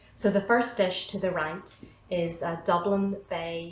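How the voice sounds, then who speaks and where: A woman with a Northern Irish accent talks slowly in a fairly low, flat monotone, with audible room echo and noticeable background noise. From Northern Ireland, County Armagh. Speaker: cooking instructor. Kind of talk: cooking tutorial. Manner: hesitant, many fillers.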